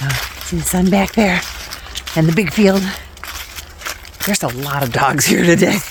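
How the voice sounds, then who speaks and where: A woman with a fairly low pitch and lively intonation talks at a moderate pace, taking long, frequent pauses, amid noticeable background noise and audible room echo. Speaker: vlogger. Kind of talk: casual vlog chat while walking. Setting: outdoors, walking in a field. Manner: slightly slurred articulation.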